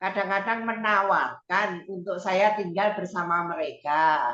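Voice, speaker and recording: A woman's bright, sharp tone at medium pitch, with ordinary pitch variation and a very slow pace. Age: 70s. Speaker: participant asking question. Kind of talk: Q&A question in online seminar.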